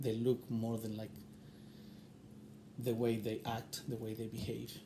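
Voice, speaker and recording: In a room with audible echo, a man with a slight Chilean accent speaks at a fairly slow pace and medium pitch. His tone is dark and mellow, and somewhat breathy. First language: Spanish. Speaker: interviewee. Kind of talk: interview. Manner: halting.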